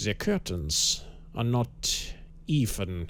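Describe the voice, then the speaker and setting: A man puts on a guttural character voice in a German accent, with clear background noise behind him. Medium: read story. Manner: thoughtful, measured, formal.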